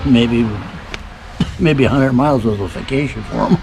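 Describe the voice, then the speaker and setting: A man speaks at a medium pitch with an American accent and ordinary pitch variation. Audible room echo and noticeable background noise fill the recording. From Michigan, US. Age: 80s+. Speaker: great-grandfather being interviewed. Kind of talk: casual family interview.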